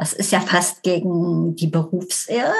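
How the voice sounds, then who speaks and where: A woman with a medium pitch talks very slowly. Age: 60s. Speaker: family therapist. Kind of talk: casual interview.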